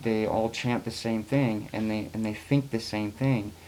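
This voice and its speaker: This man has a fairly low voice with a dark, mellow tone. He speaks at a fairly slow pace. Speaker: video blogger. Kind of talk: casual monologue to camera. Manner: monotone; hesitant, many fillers.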